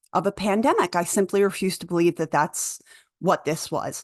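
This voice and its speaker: A woman with a Philadelphia accent speaks loudly at a moderate pace. The sound is dry and close with no echo, and the background is quiet. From Philadelphia, US. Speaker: doula and conspiracy vlogger. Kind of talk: casual vlog monologue. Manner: halting, with fillers and restarts.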